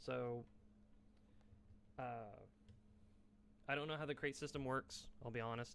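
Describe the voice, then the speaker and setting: The speech moves at a fairly slow pace with long, frequent pauses. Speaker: gaming streamer. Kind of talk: gameplay commentary. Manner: halting, filler-heavy.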